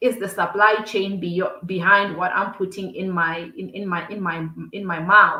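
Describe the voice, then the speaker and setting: A woman's bright, sharp voice moves at a fairly slow pace. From South Africa, Limpopo province. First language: Xitsonga. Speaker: entrepreneur. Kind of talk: podcast interview. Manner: halting, many repetitions.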